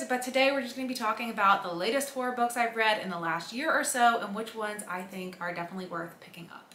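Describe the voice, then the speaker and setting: Talking at a very fast pace with ordinary pitch variation, a woman is heard amid light background noise and audible room echo. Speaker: book vlogger. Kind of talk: casual vlog chat. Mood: upbeat, enthusiastic. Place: home room.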